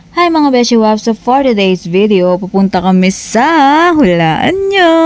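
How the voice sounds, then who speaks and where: Over noticeable background noise, a woman talks in a fairly high pitch with very wide pitch swings and very even loudness. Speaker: travel vlogger. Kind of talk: casual vlog talk. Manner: animated.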